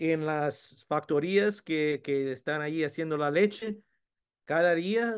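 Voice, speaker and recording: A man with an English accent speaks at a fairly high pitch. His intonation is lively, and the background is quiet. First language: English (speaking Spanish). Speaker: food science professor. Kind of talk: webinar presentation. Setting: video webinar. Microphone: video call.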